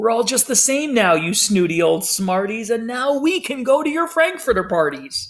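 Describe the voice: A man's put-on character voice, extremely high and fairly bright, with big pitch swings at a moderate pace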